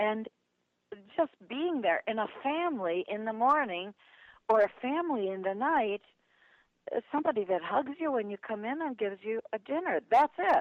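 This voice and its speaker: Long, frequent pauses break up a woman's fairly high voice, which has an American accent and very wide pitch swings. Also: moderate pace. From US Midwest, Milwaukee, Wisconsin. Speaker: professional speaker and author. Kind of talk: interview. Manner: animated.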